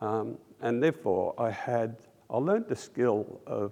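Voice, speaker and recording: The speaker is a man with an Australian accent. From Australia, raised by Russian-Polish refugee parents. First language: Russian. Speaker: audio engineer, industry award inductee. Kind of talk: interview. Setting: trade convention. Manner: halting, many fillers.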